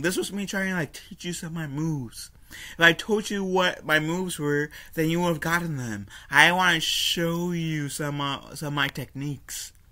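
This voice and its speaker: A man with a bright, sharp tone at a moderate pace, against a quiet background. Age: 20s. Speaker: YouTuber reviewing a cartoon. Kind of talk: solo video review. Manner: casual, frequent fillers and self-corrections. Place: home room. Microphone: webcam.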